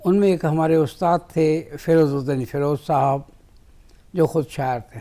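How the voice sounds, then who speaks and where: This man's voice sits at a fairly high pitch with a dark, mellow tone. His pitch varies in an ordinary way. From Punjab, Lahore. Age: 80s+. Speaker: writer. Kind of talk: interview. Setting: TV studio.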